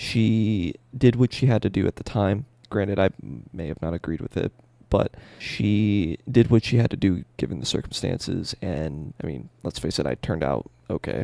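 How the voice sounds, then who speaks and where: A quiet man at a fairly low pitch, with a dark, mellow tone, vocal fry, lively intonation, and a moderate pace, in a dry, close sound with no echo. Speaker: streamer and rapper. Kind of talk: personal vlog monologue. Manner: rambling, casual. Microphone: quiet audio, boosted in editing.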